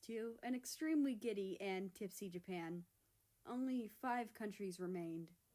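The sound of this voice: The reading voice here is unforced.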